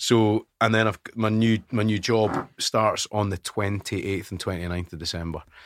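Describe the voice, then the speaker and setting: Speaking with a Scottish accent and hardly any pauses, a man keeps his intonation fairly even on a very clean recording with a silent background and a dry, close sound with no echo. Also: moderate pace. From Scotland (West Lothian). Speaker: radio presenter. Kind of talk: casual chat. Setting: studio.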